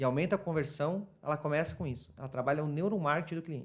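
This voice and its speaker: This man has a fairly high voice and speaks at a fairly quick pace. The recording is very clean, with a completely silent background. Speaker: retail marketing specialist. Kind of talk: casual interview chat. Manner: fast.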